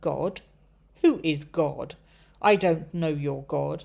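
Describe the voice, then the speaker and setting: Speaking very slowly in a put-on character voice, a woman drops to a very deep, low pitch in a very clean recording with a silent background. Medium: read story. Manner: petulant.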